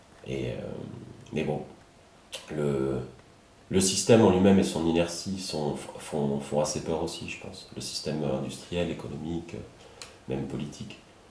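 Long, frequent pauses break up a man's very deep, low voice at a fairly slow pace. Audible room echo and noticeable background noise are present. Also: ordinary pitch variation, big swings in loudness. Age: 30s. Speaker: podcast host. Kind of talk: interview conversation. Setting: at the guest's home.

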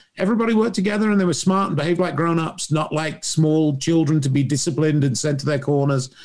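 A man talks very fast with an English accent. His pitch is fairly high for a man, with ordinary pitch variation. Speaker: lighting designer. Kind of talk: casual group chat. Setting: video call.

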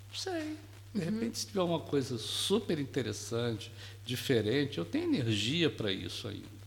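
Somewhat breathy and at a medium pitch, a man speaks with lively intonation. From Brazil, Rio de Janeiro. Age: 60s. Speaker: retired educator. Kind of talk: casual interview chat. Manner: calm, soft-spoken.

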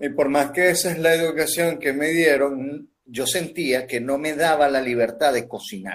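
Speaking in a Lara Venezuelan accent, the voice moves at a fairly slow pace with ordinary pitch variation and hardly any pauses. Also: man, fairly high pitch for a man. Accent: Venezuelan Spanish (guaro). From Venezuela, Barquisimeto (Lara). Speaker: pastry chef. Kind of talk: casual interview. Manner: halting, many fillers.

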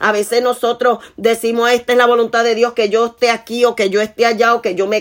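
Here a woman speaks at a fairly quick pace. Her pitch is fairly high and her intonation is monotone and flat. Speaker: preacher. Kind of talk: sermon. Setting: online video platform. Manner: rhythmic, repetitive emphasis, often restating key phrases.

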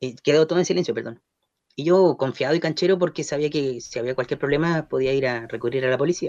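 Fairly high in pitch, a man talks at a very fast pace. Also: ordinary pitch variation. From Chile, Concepción area. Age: 40s. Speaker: journalist. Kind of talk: radio interview.

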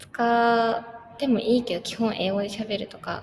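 With background noise clearly audible, the woman keeps a moderate tempo and a fairly high pitch. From Japan. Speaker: university student. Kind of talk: casual interview.

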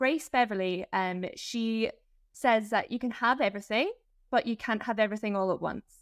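On a very clean recording with a silent background, a woman speaks at a fairly high pitch. She has an unremarkable speaking voice. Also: ordinary pitch variation, moderate pace. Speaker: podcast host. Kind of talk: interview chat.

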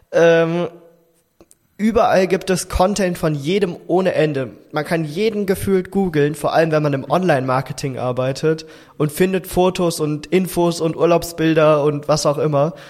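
A high-pitched man's voice at a moderate pace, with ordinary pitch variation and very even loudness. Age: young. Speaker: podcast host. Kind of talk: casual chat.

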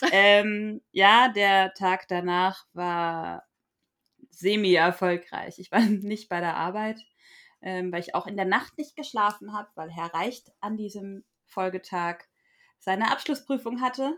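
A woman speaks very slowly in a bright, sharp tone, with big swings in loudness and ordinary pitch variation. The recording is very clean, with a silent background. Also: medium pitch for a woman. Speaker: podcast co-host. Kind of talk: casual chat. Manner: halting.

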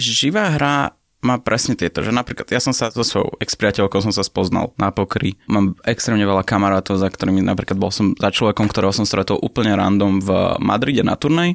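The recording is very clean and dry, close with no echo, over a silent background. A man talks at a fairly quick pace, with very even loudness and ordinary pitch variation. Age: 20s. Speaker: professional poker player. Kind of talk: interview.

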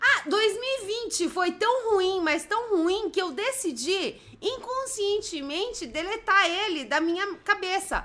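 A raised, projected voice with a bright, sharp tone moves at a very slow pace with lively intonation and hardly any pauses. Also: woman, extremely high pitch for a woman. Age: 30s. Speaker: live stream co-host. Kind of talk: casual chat.

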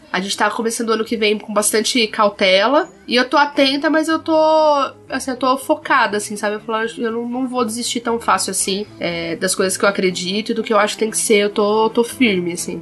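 A woman with a fairly high pitch speaks at a fairly quick pace, with hardly any pauses. Her pitch varies in an ordinary way, and noticeable background noise is present. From southern Brazil. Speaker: podcast co-host. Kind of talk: casual chat.

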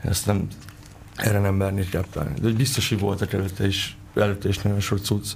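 Man with a normal speaking voice, fairly low pitch, fairly quick pace, fairly even intonation and very even loudness. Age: 20s. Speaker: rapper and lyricist. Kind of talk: radio interview.

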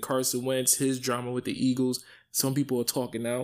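A man talks in a New York accent. The recording is very clean, with a silent background. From New York City (Bronx). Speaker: sports podcast host. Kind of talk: solo sports talk monologue. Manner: animated.

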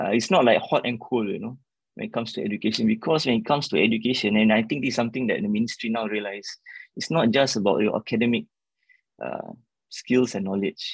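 A man talks at a very fast pace, at a medium pitch with ordinary pitch variation. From Singapore. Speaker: member of parliament and lecturer. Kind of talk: interview. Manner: halting, with repeated words.

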